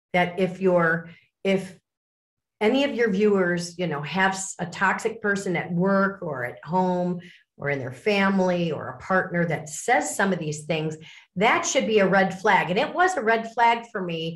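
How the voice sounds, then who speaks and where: Audible room echo colors the voice of a woman who speaks at medium pitch and a moderate pace in an American accent. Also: ordinary pitch variation. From US Midwest, Lake Forest, Illinois. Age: 60s. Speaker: author and speaker on abuse recovery. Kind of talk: interview.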